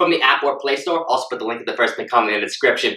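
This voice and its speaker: A man speaks with audible room echo. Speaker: fitness coach. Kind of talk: tutorial intro. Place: home room. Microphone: camera far.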